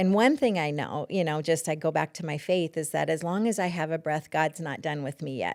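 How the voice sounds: Speaking at a fairly quick pace in an American accent, a woman has a low pitch and a slightly mellow tone, in a very clean recording with a silent background. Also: ordinary pitch variation.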